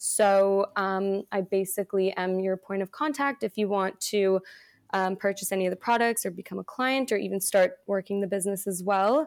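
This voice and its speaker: A woman with an ordinary speaking voice, medium in pitch, at a moderate pace with ordinary pitch variation, in a very clean recording with a silent background and a dry, close sound with no echo. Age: 20s. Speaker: product sales consultant. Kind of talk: casual chat; sales pitch.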